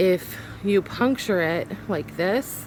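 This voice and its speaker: Noticeable background noise runs under a woman talking in a medium pitch. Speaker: homesteading vlogger. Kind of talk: casual vlog tutorial. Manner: animated.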